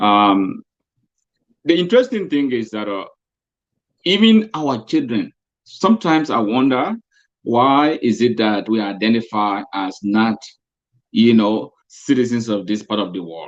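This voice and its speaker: A man with a strong Liberian accent talks at a fairly slow pace with long, frequent pauses and lively intonation. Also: medium pitch for a man. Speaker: co-host. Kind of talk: casual chat.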